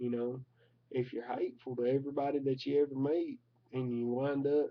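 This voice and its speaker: Speaking with a strong Southern US accent, a man keeps a medium pitch and a monotone, flat intonation at a moderate pace. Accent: thick Southern US. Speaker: vlogger. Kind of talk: casual vlog monologue. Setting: at home recording at his computer. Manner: halting, filler-heavy.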